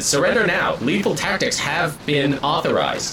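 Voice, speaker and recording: Using a put-on character voice with a high pitch, a man speaks at a moderate pace over clear background noise. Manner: flat, mechanical, commanding.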